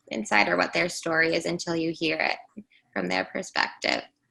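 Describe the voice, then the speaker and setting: A woman's bright, sharp, bubbly tone with vocal fry. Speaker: podcast co-host. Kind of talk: casual chat.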